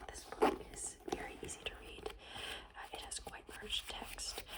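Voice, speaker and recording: Someone whispers over noticeable background noise. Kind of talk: ASMR whispered book recommendations. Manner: whispered, slow, repetitive.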